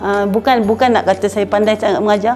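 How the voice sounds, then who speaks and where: Talking at a very fast pace with fairly even intonation, a woman with a medium-pitched voice is heard over music in the background. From Malaysia, Penang. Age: 60s. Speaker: Quran teacher and course alumna. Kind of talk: testimonial interview. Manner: halting, with repetitions and fillers.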